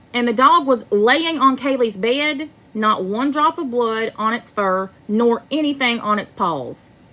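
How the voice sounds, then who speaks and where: Bright and sharp in tone, a woman with an American accent speaks at a high pitch with ordinary pitch variation, sounding animated. Her pace is fairly slow, yet she hardly pauses. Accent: American Southern, some call it fake. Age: 40s. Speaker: true crime livestreamer. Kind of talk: livestream commentary. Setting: livestream.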